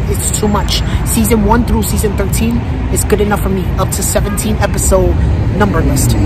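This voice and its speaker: A woman speaks at a moderate pace over background music, the sound dry with no echo. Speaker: vlogger. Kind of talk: casual vlog chat. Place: street. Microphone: phone near.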